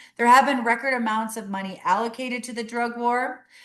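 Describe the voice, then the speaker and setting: A woman with a high pitch talks at a fairly quick pace. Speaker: executive director of a harm reduction agency. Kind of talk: webinar presentation. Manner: fast.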